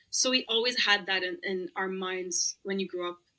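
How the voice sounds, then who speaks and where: A woman with an Arabic accent has a bright, sharp tone at medium pitch. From Lebanon. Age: 30s. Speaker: roller skater and former pharmacist. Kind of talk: podcast interview.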